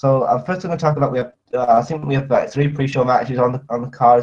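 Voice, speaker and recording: A man talks at a fairly quick pace. His pitch sits in the medium range, and the voice is somewhat breathy. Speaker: wrestling commentator. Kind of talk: casual predictions talk. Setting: audio only, off camera. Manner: hesitant, many fillers.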